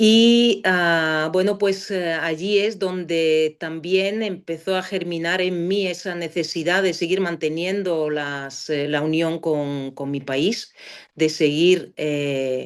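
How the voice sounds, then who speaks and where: The speech moves at a very slow pace with hardly any pauses and ordinary pitch variation. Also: woman, fairly low pitch for a woman. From Bulgaria (Sofia). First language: Bulgarian (speaking Spanish). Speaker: philology professor. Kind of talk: interview. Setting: podcast. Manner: halting, many fillers.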